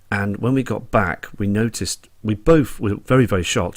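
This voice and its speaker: A man speaks in a Dorset accent with a fairly low voice. His pitch variation is ordinary. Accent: Dorset twang. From Dorset, England. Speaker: sky watcher video blogger. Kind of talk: casual vlog monologue.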